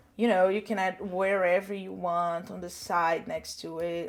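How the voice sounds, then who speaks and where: A woman with a Portuguese accent at a fairly slow pace. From Brazil. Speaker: social media content creator. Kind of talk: tutorial. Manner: casual, chatty.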